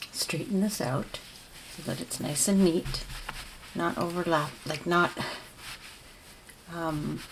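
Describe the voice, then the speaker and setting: Over noticeable background noise, a woman speaks very slowly with a fairly low pitch, fairly even intonation, and long, frequent pauses. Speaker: crochet tutorial creator. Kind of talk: tutorial. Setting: at home. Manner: soft-spoken.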